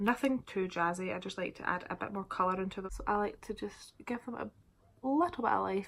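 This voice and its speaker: A woman with a Scottish accent at a fairly quick pace. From Scotland. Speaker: beauty vlogger. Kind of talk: casual makeup tutorial to camera. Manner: casual, chatty.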